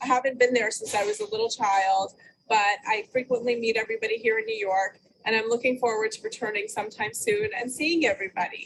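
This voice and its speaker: In an American accent, a woman talks at a fairly quick pace with a fairly high pitch. She has an ordinary speaking voice and ordinary pitch variation. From USA. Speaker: family member. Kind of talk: personal family story.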